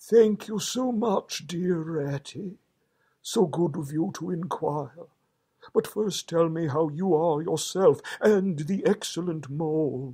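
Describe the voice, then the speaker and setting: Using a put-on character voice, a man speaks high-pitched at a fairly slow pace. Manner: polite, courteous.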